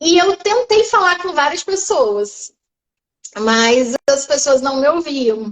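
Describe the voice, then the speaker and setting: Speaking at a very slow pace, a woman uses a high pitch and very wide pitch swings. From Brazil, Porto Velho, Rondônia. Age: 30s. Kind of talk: testimony.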